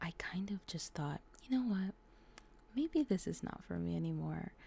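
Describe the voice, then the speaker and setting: Soft-spoken delivery at a fairly slow pace. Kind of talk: soft-spoken ASMR gaming commentary. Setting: home recording, condenser mic.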